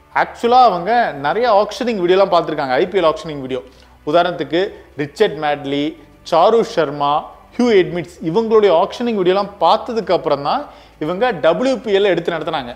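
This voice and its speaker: Over faint background music, a man speaks in a high voice with lively intonation. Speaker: sports news presenter. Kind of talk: cricket news commentary to camera. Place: studio. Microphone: lapel.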